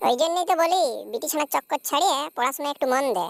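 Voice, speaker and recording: A woman performs a cartoonish character voice, high-pitched and very fast with lively intonation. The sound is dry and close, with no echo. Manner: crude, sarcastic, scolding.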